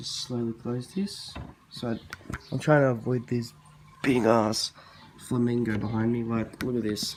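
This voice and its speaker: At a fairly slow pace with long, frequent pauses, a man with an Australian accent speaks at medium pitch with fairly even intonation. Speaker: reptile keeper video creator. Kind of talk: casual show-and-tell vlog.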